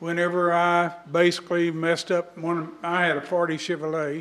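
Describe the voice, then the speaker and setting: In a Texas accent, a man with a high pitch talks at a moderate pace, with audible room echo around him. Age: 80s+. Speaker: business owner speaking at public comment. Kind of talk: public comment at city council meeting.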